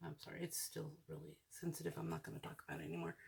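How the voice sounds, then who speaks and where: Mumbled speech at a fairly quick pace. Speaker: hobby crafting video creator. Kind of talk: casual craft tutorial narration. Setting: at home at night. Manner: mumbling; soft-spoken.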